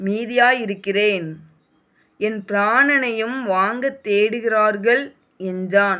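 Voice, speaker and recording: Bright and sharp yet calm in tone, a woman's fairly high voice moves with ordinary pitch variation. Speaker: Bible reader. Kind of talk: reading aloud. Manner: emotional.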